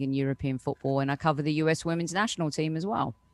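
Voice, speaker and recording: A woman with a British accent, very deep low pitch, fairly even intonation and a dry, close sound with no echo. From United Kingdom. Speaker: soccer reporter. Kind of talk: casual chat.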